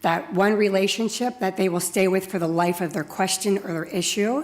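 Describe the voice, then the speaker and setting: Using an ordinary speaking voice, a woman holds a medium pitch with ordinary pitch variation. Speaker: software customer support executive. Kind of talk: conference talk.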